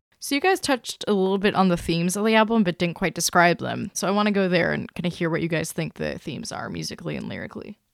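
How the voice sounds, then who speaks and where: With vocal fry and a fairly low pitch, a woman talks very fast with hardly any pauses and ordinary pitch variation, recorded dry and close with no echo against a very clean, silent background. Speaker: podcast editor. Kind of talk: moderated podcast discussion.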